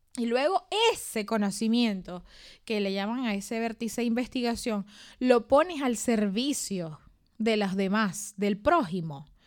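Fairly high in pitch, this woman has an unremarkable speaking voice with lively intonation. She speaks at a fairly slow pace in a very clean recording with a silent background. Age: 30s. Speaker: podcast co-host. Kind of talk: casual chat.

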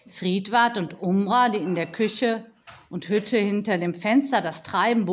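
Delivered in a natural reading voice, the speech has ordinary pitch variation.

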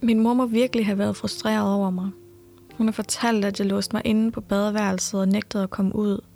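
A woman's medium-pitched, dark, mellow voice, monotone and flat, at a fairly quick pace. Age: 20s. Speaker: podcast host. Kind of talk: personal storytelling narration.

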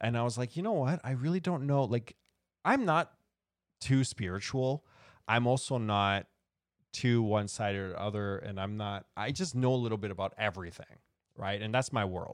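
An unremarkable speaking voice with a Canadian accent, moderate pace and ordinary pitch variation, on a very clean recording with a silent background. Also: man, medium pitch for a man. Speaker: talk show host. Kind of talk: casual chat. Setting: studio.

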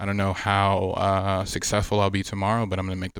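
A normal speaking voice with an American accent, fairly quick, on a very clean recording with a silent background. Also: man. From Miami, Florida, Haitian family. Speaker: fashion brand founder and designer. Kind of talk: casual interview chat.

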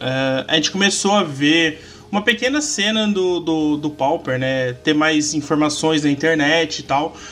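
An unremarkable speaking voice, a man's, fairly high in pitch, at a fairly slow pace with ordinary pitch variation and hardly any pauses. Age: 30s. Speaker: podcaster and card game content creator. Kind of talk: casual chat.

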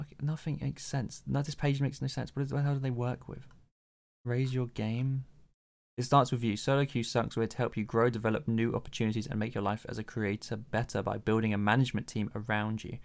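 A man with a plain, everyday voice speaks at a fairly quick pace. His medium pitch carries fairly even intonation. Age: 20s. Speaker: podcast co-host, writer and streamer. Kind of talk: casual chat.

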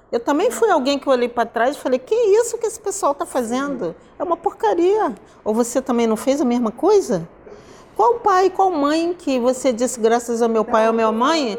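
At a moderate pace, a woman speaks in a high pitch that makes very wide swings. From Brazil, Rio de Janeiro. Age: 60s. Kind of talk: interview.

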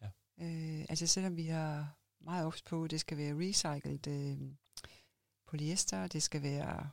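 Very slow speech from a woman with a very deep, low pitch. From Denmark, Odense (Funen). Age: 50s. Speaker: clothing entrepreneur. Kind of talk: interview. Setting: podcast studio.

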